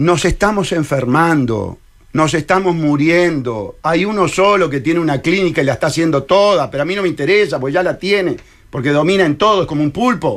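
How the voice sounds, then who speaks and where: With a Uruguayan accent and an animated tone, the speaker talks at a fairly quick pace with ordinary pitch variation against a quiet background. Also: man, high pitch for a man. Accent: Uruguayan Rioplatense Spanish. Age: 60s. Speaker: presidential candidate and lawyer; candidate, lawyer. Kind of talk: radio interview. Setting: radio studio. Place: studio. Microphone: headset.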